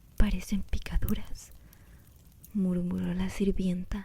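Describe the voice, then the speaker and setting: A soft-spoken woman talks at a very slow pace, her pitch medium with a dark, mellow tone. Her intonation stays monotone and flat, and her voice is somewhat breathy. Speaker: ASMR creator. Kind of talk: reading aloud.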